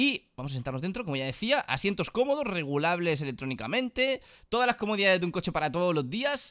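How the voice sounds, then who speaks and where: Against a quiet background, a man talks at a high pitch and a fairly quick pace. His tone is animated, bright and sharp, with very wide pitch swings. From Spain. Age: 30s. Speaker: gaming YouTuber; gaming streamer. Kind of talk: casual gameplay commentary.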